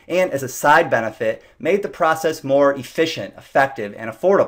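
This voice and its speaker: A man with a plain, everyday voice and fairly high pitch talks at a moderate pace, his intonation lively. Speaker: SEO business owner. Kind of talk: sales pitch.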